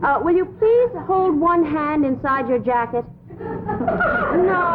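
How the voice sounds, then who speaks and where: A woman speaks at a very slow pace while crowd noise sounds in the background. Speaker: actress playing a secretary. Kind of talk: reading fan letters aloud in comedy sketch.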